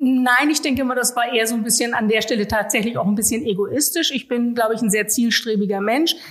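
A woman's high-pitched voice at a very fast pace, with hardly any pauses, very even loudness and ordinary pitch variation. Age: 40s. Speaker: local politician. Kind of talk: interview conversation.

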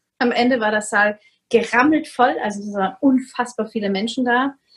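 A woman with a fairly high pitch speaks at a moderate pace, varying her pitch in an ordinary way. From Vienna, Austria. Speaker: coach on narcissistic abuse. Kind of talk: interview.

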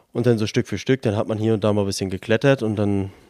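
The tone is dark and mellow, and the intonation is fairly even. The pace is very fast. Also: man. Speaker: climbing wall founder, church member. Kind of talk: interview. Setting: indoor bouldering loft with children climbing.

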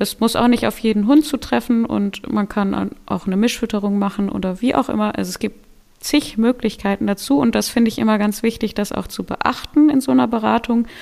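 A woman talks at a fairly quick pace with hardly any pauses, using a fairly high pitch and ordinary pitch variation. Hers is an unremarkable speaking voice. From western Germany (Solingen, North Rhine-Westphalia). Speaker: dog food company owner and rescue dog handler. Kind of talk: casual interview.

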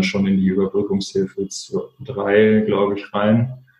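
The voice has a dark, mellow tone and fairly even intonation. Delivery is at a moderate pace. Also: man. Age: 20s. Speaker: social entrepreneur, fashion label co-founder. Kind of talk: interview.

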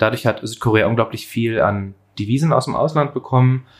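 A man speaks at a medium pitch, using ordinary pitch variation. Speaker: podcast co-host. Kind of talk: conversational discussion. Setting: home kitchen with open window.

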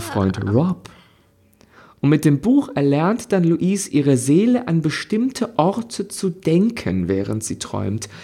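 A man speaks at a fairly slow pace, somewhat breathy, with a dark, mellow tone. His pitch swings very widely. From Germany. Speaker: podcast co-host. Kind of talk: casual chat. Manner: animated.

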